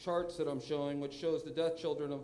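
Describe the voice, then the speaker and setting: A man speaks loudly in a high voice with monotone, flat intonation. Room echo is audible. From New Hampshire. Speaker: public commenter at school board meeting. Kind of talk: public comment. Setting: school board meeting room.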